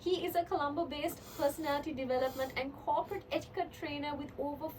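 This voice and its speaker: Speech races by at a very fast pace with ordinary pitch variation. Noticeable background noise runs underneath. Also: woman. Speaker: radio host. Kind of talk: radio interview. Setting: radio studio. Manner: chatty, fast.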